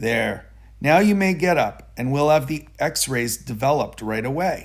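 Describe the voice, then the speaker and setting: A put-on character voice from a man, raspy and fairly high in pitch, with lively intonation at a moderate pace. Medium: read story. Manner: gentle, matter-of-fact.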